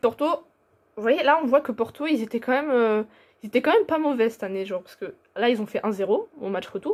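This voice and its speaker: A woman talks at a very fast pace in a high pitch with lively intonation, big swings in loudness, and long, frequent pauses. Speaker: football YouTuber. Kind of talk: casual football commentary vlog. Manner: hesitant, many fillers.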